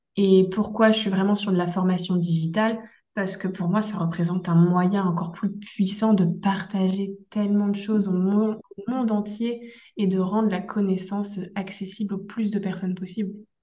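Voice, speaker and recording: Amid audible room echo, a woman speaks at a moderate pace in a monotone, flat intonation. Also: medium pitch for a woman. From Brittany, France. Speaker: instructional designer, entrepreneur. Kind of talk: interview, personal story.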